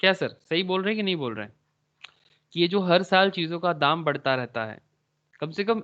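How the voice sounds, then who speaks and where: Moderately paced speech from a man with a high pitch and very wide pitch swings. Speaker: stock market teacher. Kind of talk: online class lecture. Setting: video call with screen share.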